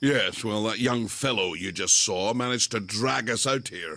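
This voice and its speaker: A put-on character voice from a man, raspy and medium in pitch, at a moderate pace. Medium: audio drama. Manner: polite, refined.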